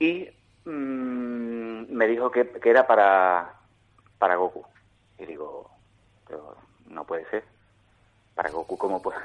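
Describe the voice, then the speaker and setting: With an Andalusian accent, a man talks at a very slow pace, leaving long, frequent pauses, his loudness swinging widely. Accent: marked Andalusian. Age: 30s. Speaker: voice actor and radio announcer. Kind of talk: interview. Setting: phone call. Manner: repetitive, stammering.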